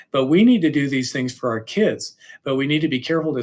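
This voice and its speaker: This is a man speaking. His intonation is lively. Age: 60s. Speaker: high school English teacher. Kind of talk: presentation / lecture.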